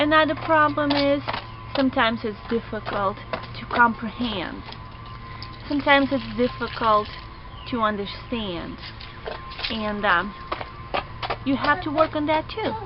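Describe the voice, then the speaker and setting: A woman speaks at a fairly slow pace with a non-native accent and a fairly high pitch, leaving long, frequent pauses. Music plays in the background. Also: lively intonation. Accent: non-native English, working on pronunciation. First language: not English. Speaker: online student. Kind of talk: vlog.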